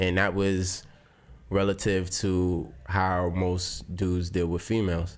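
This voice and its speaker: At a very slow pace, a man with an American accent speaks at a very deep, low pitch, with fairly even intonation and very even loudness. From Brooklyn, New York. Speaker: teacher, dancer and poet. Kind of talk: casual chat.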